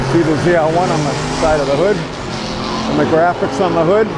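A moderate pace, loud background noise, and a dry sound with no echo. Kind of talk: casual vlog commentary. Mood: enthusiastic, admiring. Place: street. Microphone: phone near.

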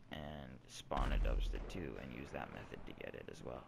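This man talks at a moderate pace with vocal fry and lively intonation. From Toronto, Canada. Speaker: gaming YouTuber. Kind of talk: gameplay commentary tutorial. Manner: animated.

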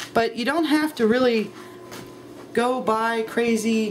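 Light background noise sits under a woman's voice, whose pitch varies in an ordinary way. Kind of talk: casual cooking vlog chat. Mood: relaxed, laughing. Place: kitchen. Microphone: camera far.

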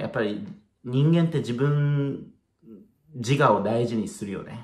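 A somewhat breathy man with lively intonation at a moderate pace, audible room echo and a quiet background. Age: 30s. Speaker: spiritual video blogger. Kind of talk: casual solo talk to camera. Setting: at home, late at night. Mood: relaxed, musing. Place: home room. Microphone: phone near.

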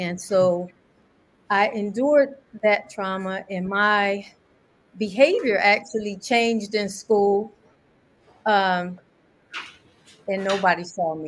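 A woman of medium pitch speaks in an American accent at a very slow pace, with long, frequent pauses. Her loudness swings widely while her pitch variation stays ordinary. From Paterson, New Jersey; New Jersey. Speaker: police mental health trainer, former bounty hunter; police mental health trainer. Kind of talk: personal testimony. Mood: serious, reflective recollection. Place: home room. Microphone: video call.

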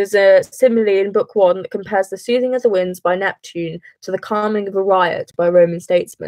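A woman speaks with a British accent. The background is quiet and the sound is dry with no echo. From England. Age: young. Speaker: A-level student. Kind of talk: casual study livestream talk to camera. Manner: rushed. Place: home room. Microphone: webcam.

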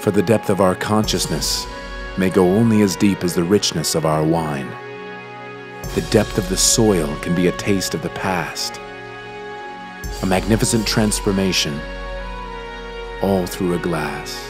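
Over music in the background, a man with an American accent speaks in a very deep, low pitch with lively intonation and long, frequent pauses. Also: fairly slow pace. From United States. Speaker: voice over artist. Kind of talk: poetic historical narration.

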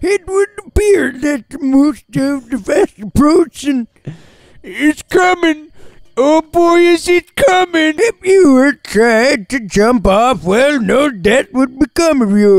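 Speaking at a fairly slow pace, a man swings very widely in pitch, and the sound is dry and close with no echo. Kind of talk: comic voiceover of game dialogue. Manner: rambling, nonsensical.

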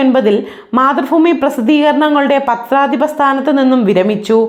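A woman's high voice with ordinary pitch variation, in audible room echo. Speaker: news anchor. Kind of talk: news reading. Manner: formal.

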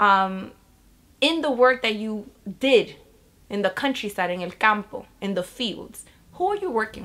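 Her voice is fairly high and bright, sharp in tone, with a New York accent, lively intonation, big swings in loudness, long, frequent pauses and a moderate pace. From Bronx, New York. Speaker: educator and community organizer. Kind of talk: interview answer. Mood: earnest, reflective. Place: home room.

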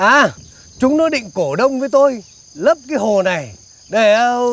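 Speech comes at a fairly slow pace. The sound is dry with no echo. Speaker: comic film character. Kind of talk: acted comedic dialogue. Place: garden.

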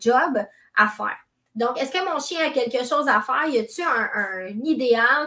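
A woman's raised, projected voice in a Quebec accent, bright and sharp in tone, with lively intonation over a quiet background. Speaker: dog trainer; dog trainer hosting a live stream. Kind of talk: live stream talk. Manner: conversational. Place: home room. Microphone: webcam.

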